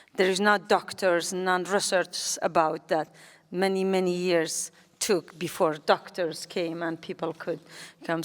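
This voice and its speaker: With a Kurdish accent, a woman speaks at medium pitch. Her pace is fairly slow. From Kurdistan, Iran. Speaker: politician and activist. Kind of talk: public talk. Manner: halting.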